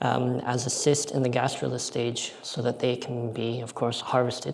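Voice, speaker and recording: With an American accent and a medium pitch, a man speaks at a moderate pace against noticeable background noise. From United States. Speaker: aquaculture researcher. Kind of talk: conference presentation.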